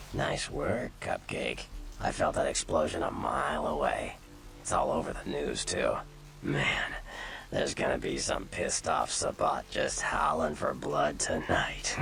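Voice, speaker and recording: A man's put-on character voice at a moderate pace, with clear background noise. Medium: game stream. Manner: casual, joking.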